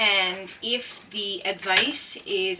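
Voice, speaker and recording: Noticeable background noise runs behind a woman's medium-pitched voice and fairly even intonation. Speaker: former paramedic puzzle vlogger. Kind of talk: casual vlog chat. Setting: greenhouse. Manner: loud; hesitant, many fillers.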